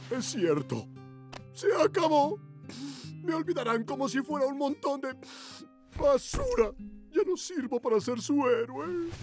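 A put-on character voice speaks at a fairly high pitch and a fairly slow pace. Long, frequent pauses break it up, with clear music in the background. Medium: dub.

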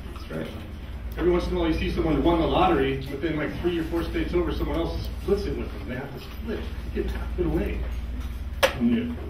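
A man at a very fast pace amid noticeable background noise and audible room echo. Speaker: stand-up comedian. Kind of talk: stand-up comedy set of one-liners. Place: stage.

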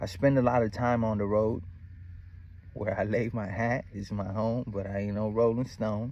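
Moderate pace, a man's dark, mellow tone, and a dry sound with no echo. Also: fairly low pitch for a man. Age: 30s. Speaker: spiritual vlogger. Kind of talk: casual monologue. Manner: animated. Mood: relaxed, reflective, confident.

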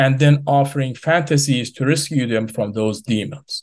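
Over a quiet background, a man talks at a moderate pace with fairly even intonation. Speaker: remote speaker. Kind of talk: prepared speech. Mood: earnest and serious. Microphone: video call.

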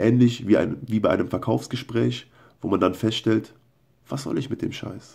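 With a quiet background behind him, a man keeps to a moderate pace. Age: 20s. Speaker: video blogger. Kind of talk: casual monologue and reading his own posts aloud. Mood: earnest, personal confession. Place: home room. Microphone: phone near.

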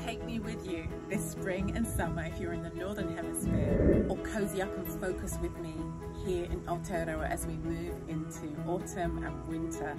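A woman speaks at a moderate pace. Loud music plays in the background. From New Zealand. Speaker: meditation guide. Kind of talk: upbeat series intro to camera. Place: garden. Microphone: phone near.

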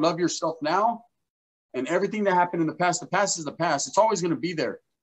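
A man with a high pitch talks at a very fast pace. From Northern California (Merced County). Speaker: YouTuber, former gang member. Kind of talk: casual interview. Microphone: webcam.

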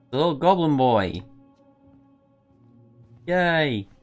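A man's voice with very wide pitch swings over faint music in the background. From Northeast England. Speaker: game streamer. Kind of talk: let's play gameplay commentary. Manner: laid-back, playful. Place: home room.

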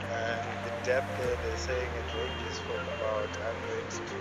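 A man's voice with music in the background. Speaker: angler vlogger. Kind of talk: casual vlog chat. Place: open country.

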